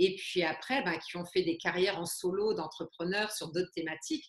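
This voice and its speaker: A woman speaks in an ordinary speaking voice at a medium pitch. Her intonation is lively. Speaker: webmarketing consultant, author. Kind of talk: interview questions.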